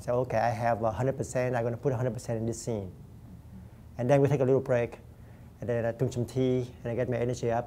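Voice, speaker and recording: Very fast but broken by long, frequent pauses, a man speaks in a Vietnamese accent with a monotone, flat intonation and a dark, mellow tone. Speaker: actor. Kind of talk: interview.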